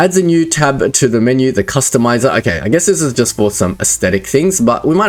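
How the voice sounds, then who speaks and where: A man talks fairly quickly in an Australian accent. His pitch swings very widely. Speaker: gaming YouTuber. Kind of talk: gameplay commentary. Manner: casual, thinking aloud.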